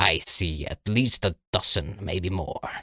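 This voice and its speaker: A man puts on a character voice. It is very deep and low, delivered at a fairly slow pace. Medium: read story.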